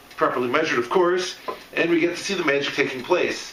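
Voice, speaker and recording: A man talks at a moderate pace. The recording has audible room echo and noticeable background noise. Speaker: steampunk hobbyist demonstrating an absinthe kit. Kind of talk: unscripted product demonstration. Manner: ad-libbed, casual.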